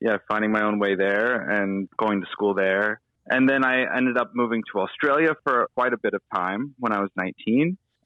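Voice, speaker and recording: At a moderate pace with hardly any pauses, a man with an American accent speaks at a medium pitch, with ordinary pitch variation and very even loudness. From Uniontown, southwestern Pennsylvania (Appalachia). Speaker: aspiring writer. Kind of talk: casual chat.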